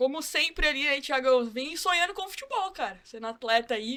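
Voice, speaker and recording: Bright and sharp in tone, a woman's high-pitched voice moves at a fairly quick pace. Her pitch varies in an ordinary way. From São Paulo city, Brazil. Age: 20s. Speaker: football academy staff, former player. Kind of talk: casual podcast chat.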